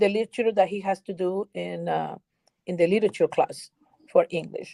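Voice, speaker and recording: Dark, mellow female voice in a Spanish accent, dry and close with no echo. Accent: Spanish-speaking foreign. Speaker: educator. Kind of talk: interview. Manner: halting, with repetitions.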